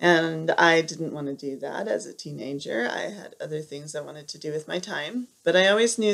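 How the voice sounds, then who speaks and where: Soft-spoken, a woman with an American accent talks at a moderate pace. Her pitch is fairly low, with ordinary pitch variation. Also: big swings in loudness. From Southern California. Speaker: piano teacher. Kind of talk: video interview.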